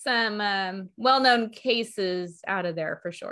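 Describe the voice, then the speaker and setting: With an American accent, a woman speaks fairly slowly at a fairly high pitch and ordinary pitch variation. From Texas. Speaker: astrologer and tarot reader. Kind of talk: casual chat. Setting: live online video show.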